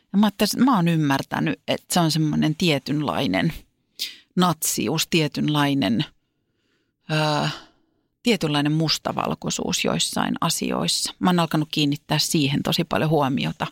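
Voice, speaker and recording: Speaking at a fairly slow pace with lively intonation, a woman with a very deep, low pitch and vocal fry keeps her loudness very even on a very clean, dry, close recording with a silent background and no echo. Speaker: podcast co-host and entertainer. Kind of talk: casual chat. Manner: distinctive stresses and speech rhythm.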